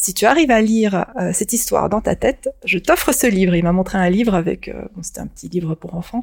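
A woman speaks with ordinary pitch variation. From Japan, moved to France at 6 or 7. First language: Japanese (speaking French). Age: 50s. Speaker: science fiction author. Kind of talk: interview.

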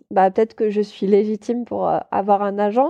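In a dark, mellow tone, a woman speaks at a moderate pace, dry and close with no echo over a quiet background. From France, Toulouse. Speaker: paper artist and illustrator. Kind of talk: casual interview chat. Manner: hesitant, many filler sounds.

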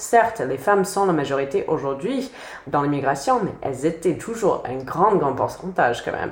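With an American accent, a woman speaks at a moderate pace with lively intonation over noticeable background noise. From United States. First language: English (speaking French). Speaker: sociology PhD student. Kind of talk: interview.

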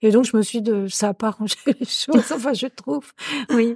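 A woman speaks at a moderate pace with fairly even intonation, her fairly high voice carrying a dark, mellow tone. The sound is dry and close, with no echo. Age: 60s. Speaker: retired career counsellor. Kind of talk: personal testimony. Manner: halting.

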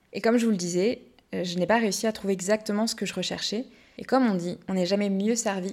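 At a fairly quick pace, a woman talks in an unremarkable speaking voice with fairly even intonation. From Brittany, France. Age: 20s. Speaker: podcast host. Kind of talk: scripted monologue.

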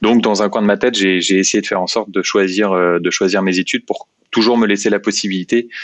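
The man talks at a fairly quick pace in a fairly low pitch, with monotone, flat intonation. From France, Seine-et-Marne (Meaux). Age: 30s. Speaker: company executive. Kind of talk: interview. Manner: halting, many fillers and repetitions.

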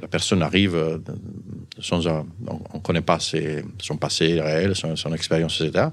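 A man with an Italian accent, in a very clean recording with a silent background. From Sardinia, Italy. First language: Italian (speaking French). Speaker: physician and pharmaceutical executive. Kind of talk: interview storytelling. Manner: halting.

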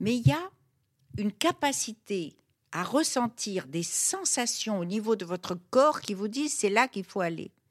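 At a fairly slow pace, a woman with a fairly high pitch makes very wide pitch swings in a dry, close sound with no echo. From Morocco, Fès. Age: 70s. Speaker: writer and cook. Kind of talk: intimate interview. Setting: at her home.

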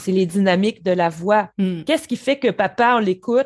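Over a quiet background, a woman with a slight Quebec accent speaks with lively intonation. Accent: Quebec French, very slight. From rural Quebec. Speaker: voice specialist. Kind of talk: interview. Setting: remote call from Montreal.

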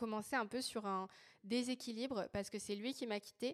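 A woman speaks fairly quickly at a fairly high pitch. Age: 20s. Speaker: feminist activist and communications entrepreneur. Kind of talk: testimony. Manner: hesitant, many fillers.

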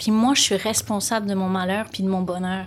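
Somewhat breathy speech at a moderate pace and with fairly even intonation is captured in a very clean recording with a silent background. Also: woman. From France, Lyon. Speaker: life coach. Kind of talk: casual interview.

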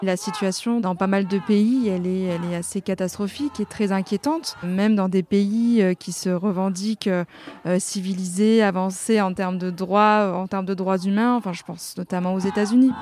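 With a dark, mellow tone, a woman speaks at medium pitch and a moderate pace with fairly even intonation. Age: 30s. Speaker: prevention worker. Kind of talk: interview. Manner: hesitant, many fillers.

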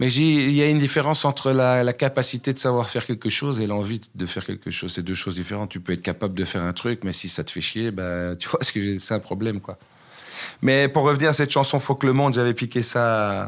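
At a fairly quick pace, a man speaks in a plain, everyday voice. His intonation is lively. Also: medium pitch for a man. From Belgium, Brussels area (Waterloo). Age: 40s. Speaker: rapper and comedian. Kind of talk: casual interview.

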